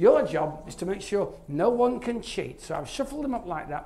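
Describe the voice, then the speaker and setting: A man talks with a Yorkshire accent. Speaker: maths author and presenter. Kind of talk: live stand-up maths show in a pub. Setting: pub.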